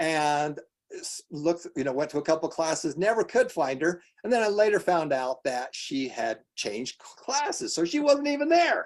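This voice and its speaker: High-pitched man with an American accent, moderate pace, very wide pitch swings and big swings in loudness. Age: 60s. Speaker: nonprofit foundation host. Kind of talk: live online presentation.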